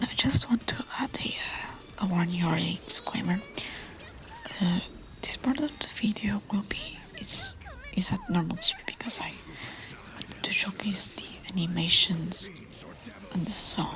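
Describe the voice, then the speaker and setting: Whispered words come at a fairly slow pace, broken by long, frequent pauses, with noticeable background noise behind them. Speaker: VTuber. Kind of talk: soft-spoken gameplay commentary. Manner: soft-spoken.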